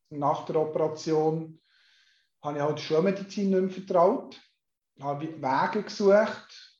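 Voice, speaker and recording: A man with a fairly high pitch speaks at a fairly slow pace with ordinary pitch variation. Long, frequent pauses run through his speech. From Switzerland, canton Solothurn. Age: 50s. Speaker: hypnotherapist and mental coach. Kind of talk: interview.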